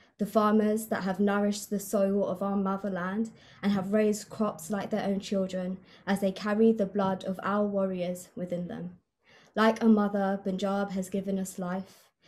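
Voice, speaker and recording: A woman talks at a moderate pace and medium pitch, with monotone, flat intonation. Her voice is somewhat breathy. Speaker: spoken word poet. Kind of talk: spoken introduction to a poem. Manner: earnest, passionate.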